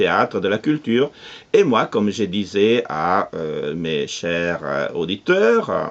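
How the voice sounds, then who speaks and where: This man has an Italian accent and a fairly low pitch. He speaks at a very slow pace with lively intonation. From Italy, Nettuno near Rome. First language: Italian (speaking French). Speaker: radio producer and cultural association president. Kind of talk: interview. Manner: halting, many hesitations.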